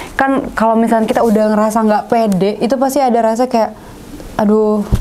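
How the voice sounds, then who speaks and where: Intonation stays fairly even at a fairly quick pace. Background noise is noticeable. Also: woman. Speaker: podcast host. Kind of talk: talk show hosting.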